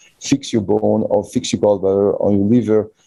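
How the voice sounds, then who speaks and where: A man with a French accent talks at a moderate pace in a dark, mellow tone, with ordinary pitch variation. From France. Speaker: physician and manual therapy teacher. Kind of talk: interview. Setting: online call. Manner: speeds up when passionate.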